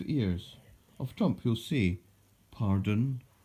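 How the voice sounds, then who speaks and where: The voice has a dark, mellow, somewhat breathy tone. The recording is very clean, with a silent background. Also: man. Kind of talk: poetry reading.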